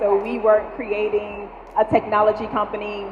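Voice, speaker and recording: With audible room echo and noticeable background noise, a woman speaks at a fairly high pitch and a fairly slow pace. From Louisiana, near New Orleans. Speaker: startup founder. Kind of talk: panel interview. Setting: stage with audience. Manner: loud.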